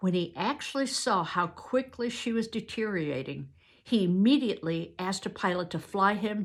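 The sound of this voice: Ordinary pitch variation from an unforced reading voice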